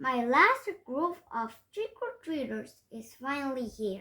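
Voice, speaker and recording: Using a put-on character voice, a woman speaks high and at a fairly slow pace. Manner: scary.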